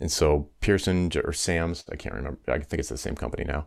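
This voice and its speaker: At a very fast pace, a man speaks with a very deep, low pitch and vocal fry. His pitch varies in an ordinary way. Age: 50s. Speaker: business coach and former musician. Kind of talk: interview conversation.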